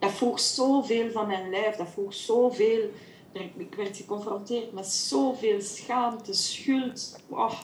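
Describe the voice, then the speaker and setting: The speaker talks very slowly, with ordinary variation in pitch. There is audible room echo and noticeable background noise. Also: woman, fairly high pitch for a woman. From Belgium, Flemish Brabant (Kortenberg). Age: 40s. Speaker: women's circle facilitator. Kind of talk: interview. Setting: video call. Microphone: poor audio, recorded through host's microphone.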